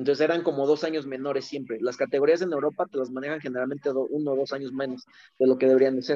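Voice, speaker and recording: A man with a fairly high pitch and a dark, mellow tone speaks very fast in a monotone, flat intonation. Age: 20s. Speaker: former youth footballer. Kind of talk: casual interview chat.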